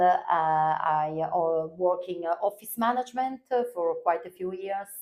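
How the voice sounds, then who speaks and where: With an Italian accent, a woman speaks at a fairly slow pace and a fairly low pitch. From northern Italy. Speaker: language teacher. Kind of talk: interview. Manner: halting, many fillers.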